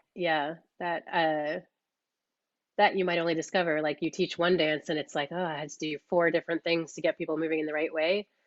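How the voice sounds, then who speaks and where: Speaking at a fairly quick pace with an American accent, a woman keeps a fairly low pitch and a monotone, flat intonation. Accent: sounds American. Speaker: dance caller and workshop teacher. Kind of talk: online workshop discussion. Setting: video call. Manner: casual, many fillers.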